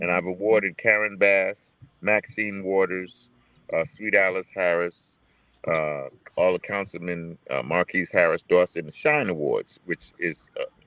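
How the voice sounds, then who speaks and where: A man with an American accent speaks at a very deep, low pitch in a bright, sharp tone, slowly-ish and with ordinary pitch variation. The sound is dry and close with no echo, over a quiet background. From New York. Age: 70s. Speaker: hip hop pioneer and DJ. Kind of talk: casual interview.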